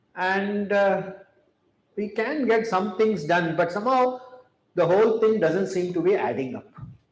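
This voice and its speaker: A man speaks with a high pitch and ordinary pitch variation. Audible room echo surrounds his voice. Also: fairly slow pace. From India. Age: 70s. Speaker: chemistry professor. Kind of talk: public talk. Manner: measured, with fillers.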